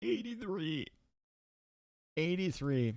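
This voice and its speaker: Putting on a character voice, a man sounds strained and fairly high-pitched. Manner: strained, speaking while inhaling.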